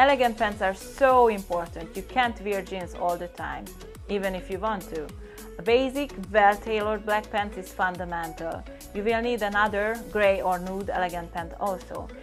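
Over music in the background, a woman with a strong Hungarian accent speaks with big swings in loudness. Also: moderate pace. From Hungary. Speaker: makeup artist and stylist. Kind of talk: style tips talk to camera.

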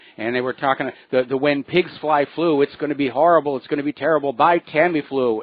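A man speaks fast at a medium pitch, with few pauses. His pitch variation is ordinary.

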